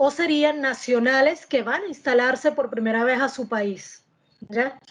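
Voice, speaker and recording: A woman talks fairly slowly in a high pitch, her pitch varying in an ordinary way. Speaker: political analyst. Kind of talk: panel discussion.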